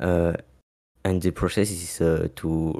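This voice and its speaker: A man with a non-native accent speaks in a very deep, low pitch and a dark, mellow tone, with monotone, flat intonation. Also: very clean recording, silent background. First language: not English. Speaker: osu! player giving a talk. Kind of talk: community talk event speech. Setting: live stream. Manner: halting, many fillers.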